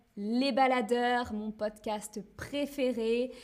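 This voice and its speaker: A woman speaks with a high pitch. Her pace is very slow. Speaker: French teacher and streamer. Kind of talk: live stream for language learners. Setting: live stream with chat. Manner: slow and clear, repeats phrases.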